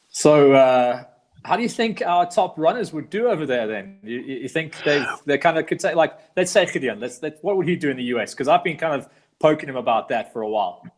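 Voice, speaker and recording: Music plays in the background as a man talks at a fairly quick pace. His fairly high voice has lively intonation. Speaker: live show host. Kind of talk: casual online talk show hosting.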